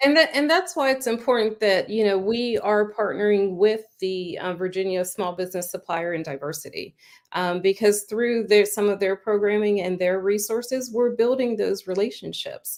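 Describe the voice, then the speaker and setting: In an American accent, this ordinary speaking voice moves at a moderate pace with hardly any pauses and ordinary pitch variation, on a very clean recording with a silent background. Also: woman, medium pitch for a woman. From Pittsburgh, Pennsylvania. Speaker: chamber of commerce director. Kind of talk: interview.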